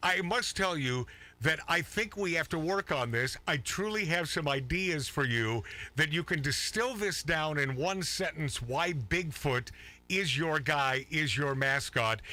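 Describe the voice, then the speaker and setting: At a fairly slow pace, a man with a fairly high pitch and a bright, sharp tone keeps his loudness very even while his intonation stays lively. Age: 60s. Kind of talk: casual chat.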